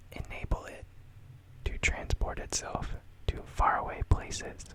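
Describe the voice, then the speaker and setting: Noticeable background noise surrounds a man's whispering. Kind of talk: interactive guessing game reading Pokédex entries. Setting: recorded at home late at night. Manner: whispered, soft-spoken.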